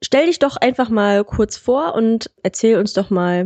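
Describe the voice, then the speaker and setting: Very slowly, a woman talks with lively intonation. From Germany, Solingen. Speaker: podcast host. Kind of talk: casual interview.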